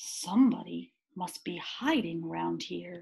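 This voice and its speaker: A woman's put-on character voice at a fairly slow pace. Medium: read story.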